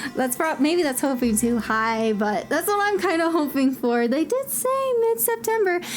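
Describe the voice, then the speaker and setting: Over noticeable background noise, a woman talks at a moderate pace in a high, animated voice with very wide pitch swings, very even loudness and hardly any pauses. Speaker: gaming youtuber. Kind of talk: tutorial.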